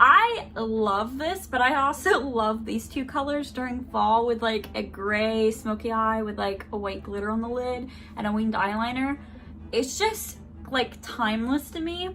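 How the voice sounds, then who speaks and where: At a fairly slow pace, a woman speaks with a fairly high pitch and ordinary pitch variation in a room with audible echo. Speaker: beauty vlogger. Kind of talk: product review with swatches. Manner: loud; animated.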